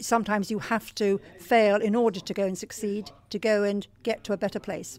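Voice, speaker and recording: A woman speaks fairly quickly with an English accent, her pitch medium. Her intonation stays fairly even. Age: 60s. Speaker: life coach. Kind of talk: interview.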